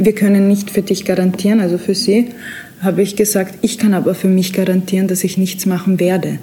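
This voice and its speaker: Over noticeable background noise, a woman talks at a fairly quick pace in a medium pitch, with monotone, flat intonation and very even loudness. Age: 20s. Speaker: prison inmate. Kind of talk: interview testimony.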